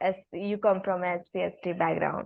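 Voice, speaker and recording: A woman's medium-pitched voice with a Marathi accent. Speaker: podcast host. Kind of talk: podcast interview.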